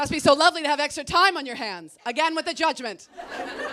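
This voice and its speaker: A woman's high, raised and projected voice at a very fast pace, with ordinary pitch variation, over crowd noise in the background. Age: 40s. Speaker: stand-up comedian. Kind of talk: stand-up comedy set to a live audience.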